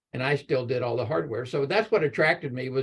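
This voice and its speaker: Somewhat breathy, a man with a Texan accent speaks at a fairly quick pace with ordinary pitch variation. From Texas, Galveston Bay area. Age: 70s. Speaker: electrical engineer. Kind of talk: panel talk to students.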